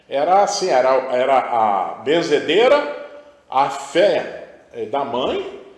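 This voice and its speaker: The speech moves at a very slow pace. Noticeable background noise and audible room echo are heard. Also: man. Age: 70s. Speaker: spiritual guest. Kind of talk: interview testimony.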